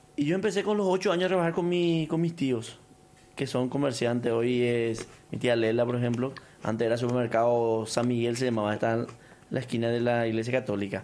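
An ordinary speaking voice at a fairly quick pace, with lively intonation and very even loudness. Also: man, medium pitch for a man. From Paraguay, Canindeyú border region. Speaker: businessman. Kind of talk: casual interview.

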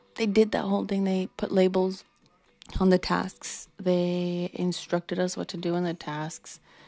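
With music in the background, a woman speaks at a medium pitch and fairly slow pace in a monotone, flat intonation. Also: dry, close sound with no echo. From Mexico or Mexican-American. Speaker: podcast host. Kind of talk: casual monologue. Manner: casual, many fillers.

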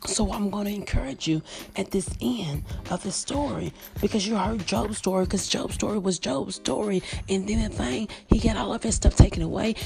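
Delivered at a fairly quick pace, the speech comes with noticeable background noise. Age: 30s. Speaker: podcast preacher. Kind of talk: sermon.

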